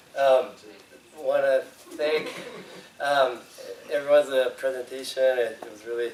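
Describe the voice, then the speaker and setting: A man speaking at a middling tempo amid audible room echo and clear background noise. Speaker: fisheries biologist presenting research. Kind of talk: conference presentation. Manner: hesitant, many fillers.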